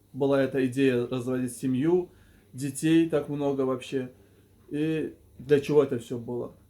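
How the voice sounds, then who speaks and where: Speaking very slowly, a man uses a fairly high pitch, a dark, mellow tone and fairly even intonation. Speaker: video blogger / life coach. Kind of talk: monologue to camera. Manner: stuttering, halting.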